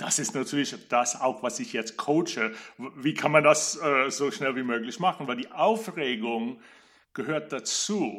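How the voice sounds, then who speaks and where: A fairly high-pitched man at a fairly slow pace, lively in intonation, on a very clean recording with a silent background. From USA. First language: English (speaking German). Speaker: opera singer and voice coach. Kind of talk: interview.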